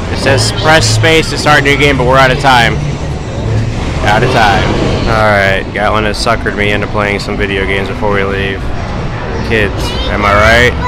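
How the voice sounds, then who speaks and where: A man speaks with ordinary pitch variation and long, frequent pauses over clear music in the background. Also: moderate pace, dry sound with no echo. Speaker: parent vlogger. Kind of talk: casual vlog chat. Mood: playful, joking. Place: hall. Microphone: phone near.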